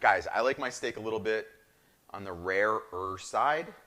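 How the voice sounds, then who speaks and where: A man with a New Jersey accent, fairly low in pitch, animated and enthusiastic in tone, at a moderate pace. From northern New Jersey. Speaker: chef, cooking show host. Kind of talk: live cooking show demonstration. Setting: live streamed cooking show. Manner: animated, enthusiastic.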